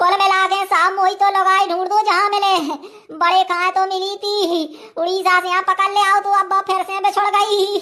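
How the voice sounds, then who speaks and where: A woman does a cartoonish character voice at an extremely high pitch, with monotone, flat intonation. She keeps a moderate pace with hardly any pauses. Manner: folksy, rambling, exaggerating.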